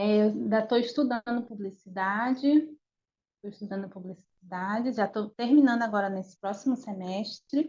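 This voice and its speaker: Somewhat breathy delivery marks this voice. Its tone is dark and mellow. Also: woman, fairly high pitch for a woman, ordinary pitch variation, moderate pace. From northern Brazil, Belém, Pará. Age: 30s. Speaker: animator. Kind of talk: interview. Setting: video call. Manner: halting.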